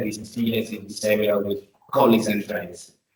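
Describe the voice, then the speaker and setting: With an Italian accent, a man speaks at a fairly low pitch. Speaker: academic host. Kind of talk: formal introduction. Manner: halting.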